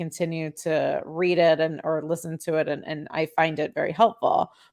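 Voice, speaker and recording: In a very clean recording with a silent background, a woman with a Chicago accent speaks at a moderate pace and a fairly low pitch. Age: 40s. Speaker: podcast host. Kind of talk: casual monologue.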